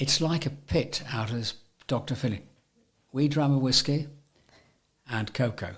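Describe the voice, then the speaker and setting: A man with a medium pitch and a somewhat breathy voice speaks at a fairly slow pace, with ordinary pitch variation and long, frequent pauses. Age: 80s+. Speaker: veteran hockey player. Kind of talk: interview answer. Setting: studio.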